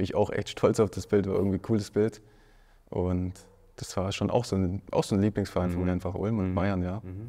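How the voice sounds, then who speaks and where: The voice has a dark, mellow tone and flat, monotone intonation, moving at a fairly quick pace. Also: man, fairly low pitch for a man. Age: 30s. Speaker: professional footballer. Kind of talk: casual interview. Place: studio. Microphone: lapel.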